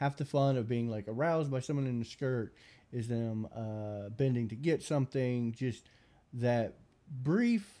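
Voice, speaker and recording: A man speaks at a medium pitch with a dark, mellow tone. His pace is fairly slow. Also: very clean recording, silent background. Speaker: podcast host. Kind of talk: casual banter podcast. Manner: joking.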